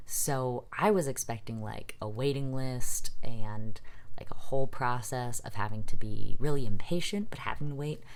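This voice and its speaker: A man uses a normal speaking voice at a moderate pace and medium pitch with ordinary pitch variation. His loudness shows big swings. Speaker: vlogger. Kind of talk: casual talk to camera.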